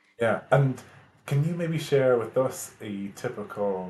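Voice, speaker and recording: A man speaks with an Irish accent. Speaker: podcast host. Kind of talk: podcast interview.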